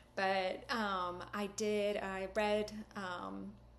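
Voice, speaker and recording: In a room with audible echo, a woman talks at a medium pitch with monotone, flat intonation. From Britain. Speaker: university lecturer. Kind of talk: course welcome message.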